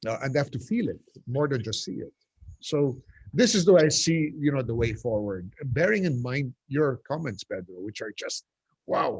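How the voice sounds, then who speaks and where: A man speaks in a fairly high, somewhat breathy voice at a moderate pace. His pitch swings very widely, and the sound is dry and close with no echo. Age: 60s. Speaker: urban development advocate. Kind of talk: panel discussion. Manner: halting.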